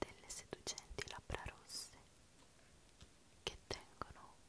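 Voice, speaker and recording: A woman whispers at a fairly slow pace in a relaxed tone, with long, frequent pauses. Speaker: ASMR creator. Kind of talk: ASMR show and tell, soft-spoken talk to camera. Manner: soft-spoken, slow, relaxed. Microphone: studio mic.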